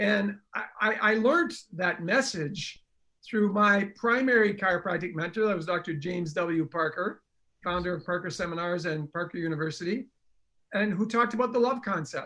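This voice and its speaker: A man speaks in a raised, projected voice, high-pitched, with a bright, sharp tone. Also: ordinary pitch variation, moderate pace. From northern Canada, French Canadian. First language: French. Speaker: chiropractor and speaker. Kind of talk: storytelling interview. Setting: livestream.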